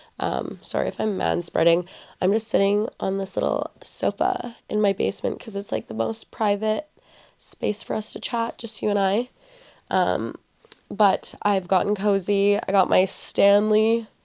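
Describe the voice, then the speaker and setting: A woman speaks at a fairly slow pace with a western Canadian accent. The sound is dry and close, with no echo. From Edmonton, Alberta, Canada. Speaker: podcast host. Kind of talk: casual chat. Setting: home basement, indoors. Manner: chatty, filler-heavy.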